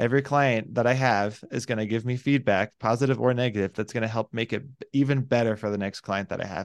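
At a fairly quick pace, a man with an unremarkable speaking voice talks at a medium pitch with fairly even intonation. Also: quiet background. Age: 20s. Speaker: digital nomad and life purpose coach. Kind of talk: casual interview chat.

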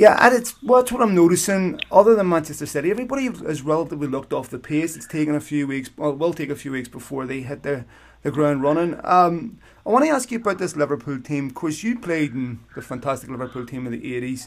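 Speaking very fast with a Northern Irish accent, a man with a fairly high pitch uses lively intonation and big swings in loudness on a very clean recording with a silent background. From Belfast, Northern Ireland. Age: 40s. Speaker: podcast host. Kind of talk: interview.

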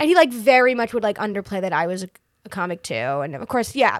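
In a very clean recording with a silent background, a woman with an American accent talks very fast at a fairly high pitch, her voice making very wide pitch swings. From Massachusetts. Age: 20s. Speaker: comedian and playwright. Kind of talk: casual chat. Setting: studio.

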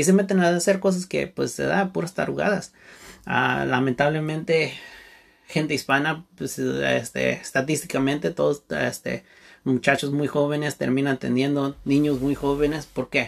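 Speech moves at a fairly slow pace. The pitch shifts in an ordinary manner. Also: man, fairly high pitch for a man. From Santa Barbara, California, US. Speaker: podcast host, business coach. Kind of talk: solo monologue podcast. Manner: halting, many fillers.

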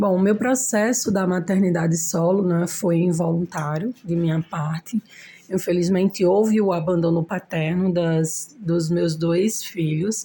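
Fairly low-pitched and somewhat breathy, a woman speaks at a fairly slow pace in a dark, mellow tone with fairly even intonation. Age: 30s. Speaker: braider and single mother. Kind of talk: interview.

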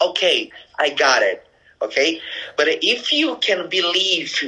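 A man speaks with a Brazilian accent. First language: Portuguese. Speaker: network marketing leader. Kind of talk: casual interview. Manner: halting, many fillers.

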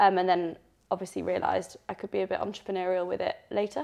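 A woman talks with a Yorkshire accent. She keeps a fairly quick pace. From northern England, Leeds. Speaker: doctor and personal trainer. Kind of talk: interview.

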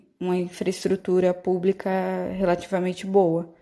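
A woman speaks in a dark, mellow tone on a very clean recording with a silent background. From São Paulo coast, Brazil (São Vicente). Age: 30s. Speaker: journalist and mother. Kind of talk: personal testimony.

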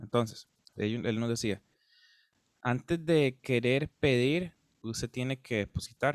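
A man's medium-pitched voice at a very slow pace, with long, frequent pauses, ordinary pitch variation and a dry, close sound with no echo. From Costa Rica, Guápiles. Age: 20s. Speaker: musician. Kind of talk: casual interview chat.

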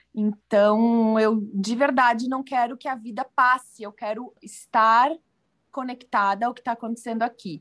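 Speaking at a fairly slow pace, a woman uses a plain, everyday voice set at a fairly high pitch. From southern Brazil, Rio Grande do Sul. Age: 30s. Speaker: journalist and food blogger. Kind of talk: casual interview chat.

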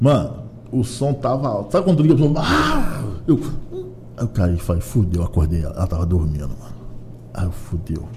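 A man's fairly low voice with very wide pitch swings, a moderate pace, long, frequent pauses and noticeable background noise. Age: 40s. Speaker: comedian. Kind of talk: casual chat.

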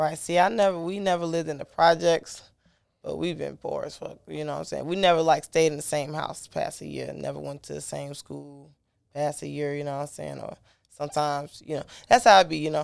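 A woman speaks fairly quickly with big swings in loudness on a very clean recording with a silent background. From Chicago South Side. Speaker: singer and songwriter. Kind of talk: casual interview chat.

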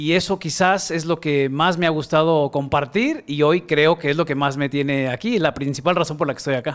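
A man's fairly high voice at a moderate pace, with ordinary pitch variation, hardly any pauses, and a very clean recording with a silent background. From Mexico, Guadalajara. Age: 40s. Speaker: creativity mentor and facilitator. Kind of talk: interview.

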